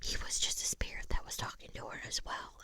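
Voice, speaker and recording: A woman whispers at a fairly slow pace against noticeable background noise. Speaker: ASMR creator. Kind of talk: ASMR book review. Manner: whispered.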